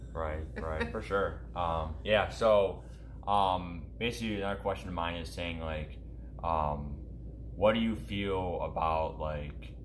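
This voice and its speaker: With lively intonation, a man speaks very slowly in a very deep, low, somewhat breathy voice. Audible room echo fills the recording. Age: young. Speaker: gaming YouTube streamer. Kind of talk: casual interview. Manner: halting; animated.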